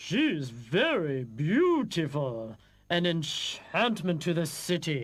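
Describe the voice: In a cartoonish character voice, a man speaks high-pitched with very wide pitch swings at a fairly slow pace, on a very clean recording with a silent background.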